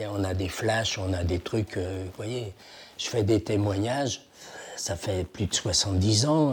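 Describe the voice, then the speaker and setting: A man with a fairly low, somewhat breathy voice speaks at a very slow pace with ordinary pitch variation. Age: 80s+. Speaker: Holocaust survivor and antique dealer. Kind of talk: testimony interview. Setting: at his home.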